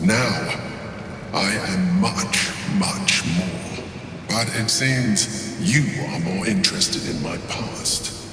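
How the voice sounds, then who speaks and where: Amid loud background noise and strong echo, a man in a put-on character voice talks at a very slow pace and medium pitch. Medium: machinima. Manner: grandiose, haughty.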